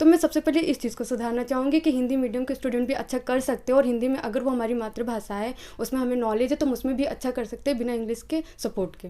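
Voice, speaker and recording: High-pitched woman's voice with a dark, mellow tone, fairly even intonation and hardly any pauses. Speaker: civil service exam aspirant. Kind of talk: interview. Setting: her rented room. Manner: fast; brisk, confident answers.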